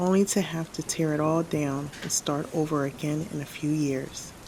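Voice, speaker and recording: Soft-spoken, a woman talks at a fairly slow pace in a very deep, low pitch. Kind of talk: spoken word sleep reading.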